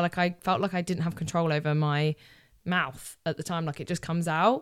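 A woman with a British accent and a fairly low pitch, fairly even in intonation, on a very clean recording with a silent background. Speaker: podcast host. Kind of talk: casual monologue.

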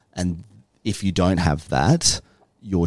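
A man speaks with an Australian accent. Vocal fry runs through his voice. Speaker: council director. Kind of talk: interview.

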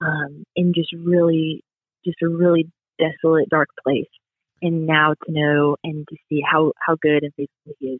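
An American-accented woman speaks with a very deep, low pitch. Her delivery is fairly slow and flat in intonation. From US South, Pensacola, Florida. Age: 20s. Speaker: student and church children's ministry worker. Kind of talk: testimony.

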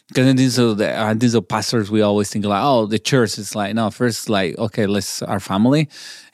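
A man speaks with a Mexican accent in a very clean recording with a silent background. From Mexico, Chihuahua. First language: Spanish. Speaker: pastor. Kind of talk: interview. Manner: halting.

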